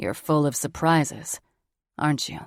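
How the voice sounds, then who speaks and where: A gravelly, put-on character voice at low-to-middle pitch comes at a moderate pace in a very clean recording with a silent background. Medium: read story.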